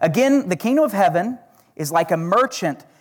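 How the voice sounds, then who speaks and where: The speaker has an Oklahoma accent and a moderate pace. The recording is very clean, with a silent background. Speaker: guest preacher. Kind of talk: sermon. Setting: church with congregation. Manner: animated, self-deprecating humor.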